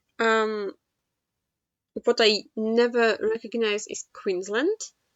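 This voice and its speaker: Very slow, monotone, flat speech from a woman with a non-native accent, her pitch fairly high. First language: not English. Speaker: geoguessr gaming youtuber. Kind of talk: game commentary. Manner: halting, many fillers.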